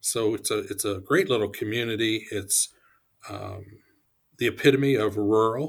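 A man with a Midwestern American accent speaks at a moderate pace and medium pitch, with ordinary pitch variation. Long, frequent pauses break his speech, and the recording is very clean with a silent background. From Ohio. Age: 60s. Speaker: economic development executive. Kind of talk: interview.

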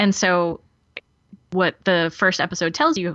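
The woman's voice sits at a medium pitch. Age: 40s. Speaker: podcaster guest. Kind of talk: casual chat. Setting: remote call over Skype.

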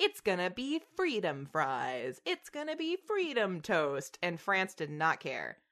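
With a Southern US accent, a woman talks at a very slow pace. The background is quiet. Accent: Southern American. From Tennessee, US South. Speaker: podcast host. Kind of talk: casual chat.

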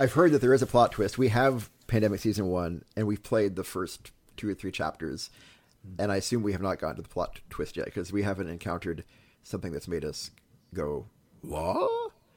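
On a very clean recording with a silent background, a man with a fairly low pitch talks fairly quickly with lively intonation. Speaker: pastor and podcast host. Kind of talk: casual conversation. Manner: animated, jokey, hesitant with many fillers.

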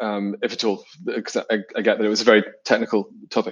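A man talking at a fairly quick pace in a British accent. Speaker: interviewer, organisation chief executive. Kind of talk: interview.

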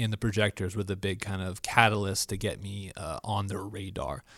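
In a very clean recording with a silent background, a man with an American accent uses a normal speaking voice, fairly even intonation and a moderate pace. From Florida. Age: 20s. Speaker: church media technician. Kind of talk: casual chat.

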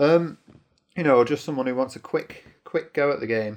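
A man speaks in a normal speaking voice at medium pitch and a moderate pace. His pitch varies in an ordinary way. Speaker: podcast co-host. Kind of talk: casual banter. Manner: teasing.

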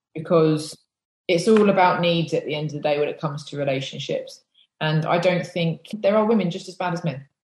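A woman with an English accent talks at a fairly quick pace, her fairly low, somewhat breathy voice carrying fairly even intonation. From England. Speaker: former police officer. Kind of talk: interview.

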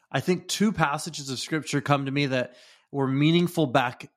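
A man with an American accent speaks in an ordinary speaking voice at medium pitch, with ordinary pitch variation. The recording is very clean, with a silent background. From US Pacific Northwest (Redmond, Washington). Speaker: leadership consultant. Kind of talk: interview.

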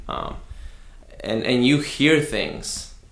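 Room echo is audible here. The male speaker keeps a fairly slow pace. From Southwest Houston, Texas (moved from Mexico at nine). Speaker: pastor. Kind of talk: casual interview. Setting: studio, face to face.

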